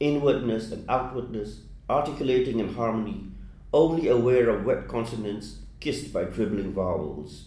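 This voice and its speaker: With a Burmese accent, the voice has a dark, mellow tone with vocal fry, ordinary pitch variation and a moderate pace. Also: man, medium pitch for a man. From Myanmar. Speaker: poet. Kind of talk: interview.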